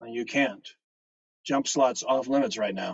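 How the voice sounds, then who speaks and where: Using a put-on character voice, a man talks at a fairly slow pace with medium pitch and ordinary pitch variation. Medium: read story. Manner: brisk, dry.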